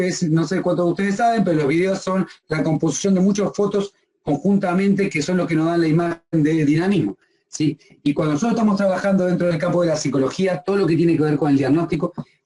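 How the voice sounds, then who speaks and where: A man talks at a very fast pace with very even loudness. His voice is high-pitched with a dark, mellow tone and ordinary pitch variation. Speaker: psychology lecturer. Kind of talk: lecture.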